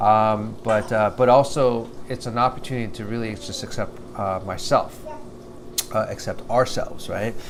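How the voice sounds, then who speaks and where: The speaker mumbles at a moderate pace. The intonation is monotone and flat. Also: man, medium pitch for a man. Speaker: vlogger. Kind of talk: video diary monologue. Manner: halting, many fillers; mumbling.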